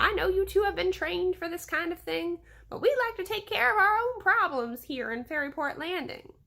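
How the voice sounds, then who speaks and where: Using a put-on character voice with very wide pitch swings, the speaker keeps a moderate pace. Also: woman. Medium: read story.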